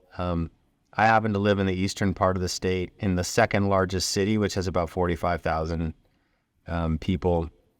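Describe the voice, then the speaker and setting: A man with an American accent, very deep and low in pitch, monotone and flat, at a fairly quick pace on a very clean recording with a silent background. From North Dakota (Grand Forks), US Upper Midwest. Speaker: healthcare company CEO. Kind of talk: interview conversation.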